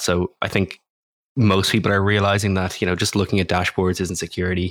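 On a very clean recording with a silent background, a man with an Irish accent speaks at a very deep, low pitch with fairly even intonation. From Ireland. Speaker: cybersecurity startup co-founder. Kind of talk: interview.

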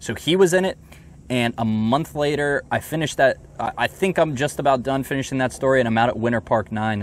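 This man has a normal speaking voice and an American accent. His intonation is lively. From Northern Virginia (Alexandria). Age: young. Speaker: golf magazine editor. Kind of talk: casual interview chat. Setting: outdoors at golf course.

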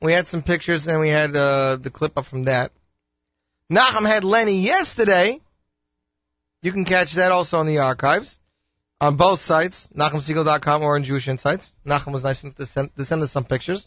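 This man has a normal speaking voice, fairly high in pitch, with ordinary pitch variation and a fairly quick pace. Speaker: radio host. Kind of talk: upbeat radio DJ patter, chatty station promos and song intros. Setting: studio. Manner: casual, rambling, self-interrupting.

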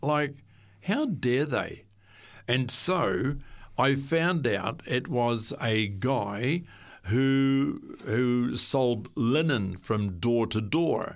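In a Southland New Zealand accent, a man speaks at a very slow pace with a medium pitch. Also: ordinary pitch variation, very even loudness. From New Zealand, Southland. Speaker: guest sharing faith story. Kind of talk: testimony. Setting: studio. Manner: halting.

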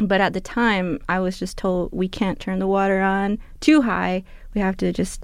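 On a very clean recording with a silent background, a woman with an American accent uses a plain, everyday voice at medium pitch and a moderate pace. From Tohono O'odham Nation, southern Arizona. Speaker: gardener and cultural outreach worker. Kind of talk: interview. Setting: radio studio.

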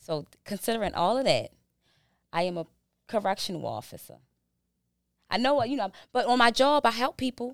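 A woman with an American accent talks fairly quickly at a fairly high pitch, with vocal fry, lively intonation and long, frequent pauses. The sound is dry and close with no echo, on a very clean recording with a silent background. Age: 40s. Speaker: behavioral health business owner and correctional officer. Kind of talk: casual interview chat.

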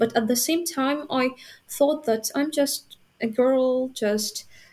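With a Ukrainian accent, a woman speaks with ordinary pitch variation. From Ukraine, Vinnytsia. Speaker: university student. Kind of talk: interview. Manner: halting, many fillers.

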